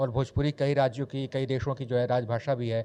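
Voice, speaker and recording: A man's fairly high-pitched voice with a dark, mellow tone at a moderate pace. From Bihar, India. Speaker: news anchor. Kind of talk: interview answer. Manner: animated, passionate.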